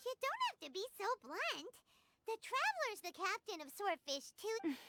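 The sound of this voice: A cartoonish character voice, squeaky and extremely high-pitched, delivered at a moderate pace.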